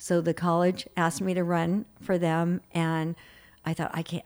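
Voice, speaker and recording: In a very clean recording with a silent background, a woman talks at a moderate pace in a fairly low pitch, a plain, everyday voice. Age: 60s. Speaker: behavioral specialist and author. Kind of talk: interview.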